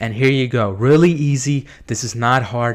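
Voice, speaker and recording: A man with a plain, everyday voice, medium in pitch, with fairly even intonation at a moderate pace. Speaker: SEO marketer, video host. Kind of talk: screen-share tutorial. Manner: casual, with fillers.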